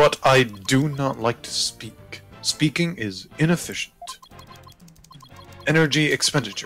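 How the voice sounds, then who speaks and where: A put-on, robotic character voice from a man, medium in pitch and moderate in pace, with long, frequent pauses and faint music in the background. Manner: robotic, flat, monotone.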